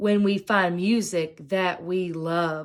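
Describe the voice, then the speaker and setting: Using a put-on character voice at medium pitch, a woman speaks at a very slow pace with fairly even intonation. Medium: read story.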